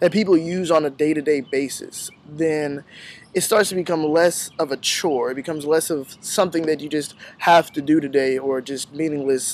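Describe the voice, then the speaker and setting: A man in an ordinary speaking voice talks at a moderate pace, his fairly high pitch held to a fairly even intonation. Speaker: university student. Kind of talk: farewell address to classmates.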